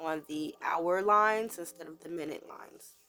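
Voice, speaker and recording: Over music in the background, a woman speaks at a fairly low pitch with ordinary pitch variation. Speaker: DIY crafter. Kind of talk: casual craft tutorial voice-over.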